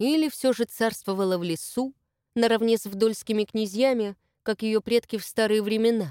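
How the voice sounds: The voice reads naturally. Little sound intrudes from the quiet background.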